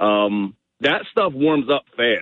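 A man speaks in an excited tone. His intonation is lively. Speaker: tournament bass angler. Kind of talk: radio interview.

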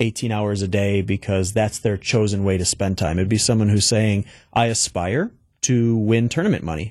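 At a moderate pace, a man with a normal speaking voice talks at a fairly low pitch with ordinary pitch variation against a quiet background. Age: 30s. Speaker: esports entrepreneur. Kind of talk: interview. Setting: radio studio.

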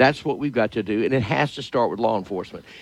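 This man talks with a Louisiana accent. His intonation is lively. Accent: Louisiana Southern US. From Louisiana, Shreveport. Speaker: politician. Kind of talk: interview.

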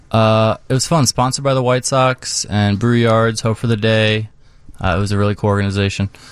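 A man with an American accent speaks fairly quickly at medium pitch in an unremarkable speaking voice, with very even loudness. The recording is very clean, with a silent background. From Florida, Tampa Bay area. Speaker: visual artist, muralist. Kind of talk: radio interview.

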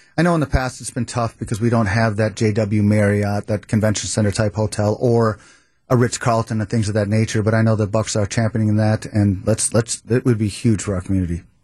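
A man's fairly low, somewhat breathy voice comes with fairly even intonation. The sound is dry and close, without echo, against a quiet background. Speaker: civic coalition leader. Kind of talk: panel discussion.

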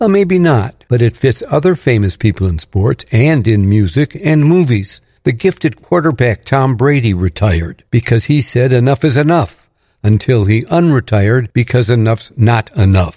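A man talks with a dark, mellow tone that is somewhat breathy, his pitch swinging very widely. The sound is dry and close with no echo, on a very clean recording with a silent background. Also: medium pitch for a man, moderate pace, very even loudness. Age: 80s+. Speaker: radio commentator. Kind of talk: scripted commentary.

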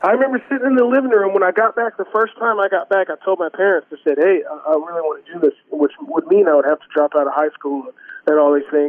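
In a Texas accent, a man talks at a very fast pace and a high pitch. His tone is animated, with lively intonation and big swings in loudness. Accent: Texas Southern. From Texas, Houston area. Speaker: singer-songwriter. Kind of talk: casual chat. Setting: studio.

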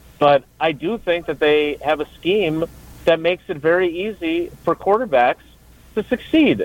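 Speaking at a fairly slow pace with an American accent, a man has a high pitch and ordinary pitch variation. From Wisconsin, Milwaukee area. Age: 50s. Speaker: sports reporter. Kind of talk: casual chat.

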